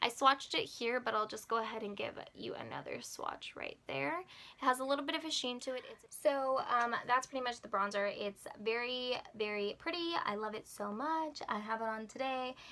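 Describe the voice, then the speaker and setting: A woman talks at a moderate pace with hardly any pauses. Her voice is high, with ordinary pitch variation. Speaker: beauty vlogger. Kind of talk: product review tutorial. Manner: animated.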